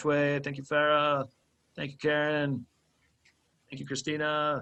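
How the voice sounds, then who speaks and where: With a bright, sharp tone and fairly high pitch, a man speaks at a moderate pace in a monotone, flat intonation while his loudness swings widely. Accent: American. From US, Maryland area. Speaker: workshop presenter, nonprofit director. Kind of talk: conference workshop wrap-up.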